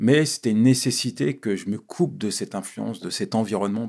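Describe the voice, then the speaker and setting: A man's voice with vocal fry against a quiet background. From Paris suburbs (La Courneuve, Vitry), Ivorian father; Paris. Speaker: pastor and speaker; podcast guest. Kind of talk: interview, life story testimony. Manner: halting, repeats words. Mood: reflective, telling life story. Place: studio. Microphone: studio mic.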